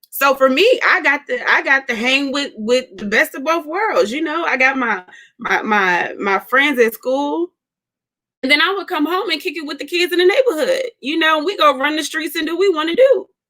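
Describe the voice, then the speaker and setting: A woman's raised, projected voice in an American accent, high in pitch with very wide pitch swings, a bright, sharp tone and a moderate pace. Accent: Southern US, occasional. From US South. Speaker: co-host. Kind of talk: casual chat.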